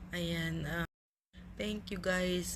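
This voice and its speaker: A woman's fairly low, fairly slow voice with vocal fry and audible room echo. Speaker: vlogger. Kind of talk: casual vlog chat. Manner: filler-heavy, relaxed.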